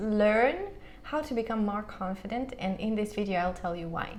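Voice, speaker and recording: A voice with a Russian accent comes through with audible room echo and noticeable background noise. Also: woman. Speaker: language teacher and vlogger. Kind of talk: casual vlog monologue. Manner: halting, many fillers.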